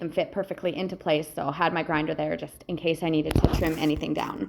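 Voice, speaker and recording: Very fast speech against noticeable background noise. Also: woman. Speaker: welder and metal fabricator. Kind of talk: voice-over narration of a project video. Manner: casual, some hesitations and filler words.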